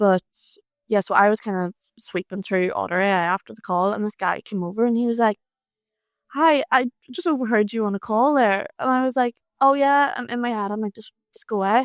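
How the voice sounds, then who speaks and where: At a fairly quick pace, a woman with an Irish accent speaks at a fairly high pitch with ordinary pitch variation and big swings in loudness, in a dry, close sound with no echo over a quiet background. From Ireland. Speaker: freelance marketer. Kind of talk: casual chat. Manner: animated.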